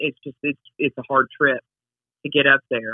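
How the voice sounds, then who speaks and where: A woman's monotone, flat intonation. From North Dakota reservation. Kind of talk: interview.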